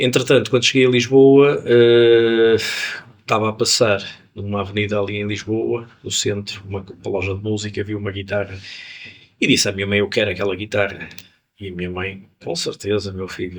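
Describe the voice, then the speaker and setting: Pitched fairly low, a man with a normal speaking voice talks at a moderate pace with fairly even intonation. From Porto, northern Portugal (born in Angola). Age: 60s. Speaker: musician. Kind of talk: interview. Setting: jazz club.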